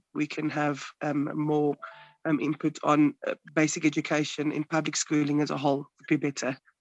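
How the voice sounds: A raspy man talks at a moderate pace with a fairly high pitch, in a dry, close sound with no echo.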